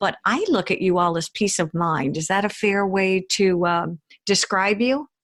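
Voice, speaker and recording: A woman speaks at a moderate pace and medium pitch in an ordinary speaking voice, with a dry, close sound and no echo. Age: 60s. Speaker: podcast host, psychologist. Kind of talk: interview.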